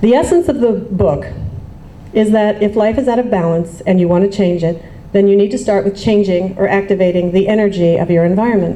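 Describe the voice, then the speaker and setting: The voice moves at a fairly quick pace with ordinary pitch variation and very even loudness. Noticeable background noise and audible room echo fill the recording. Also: woman, medium pitch for a woman. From US, Baltimore, Maryland. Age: 40s. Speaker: writer. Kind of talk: reading aloud.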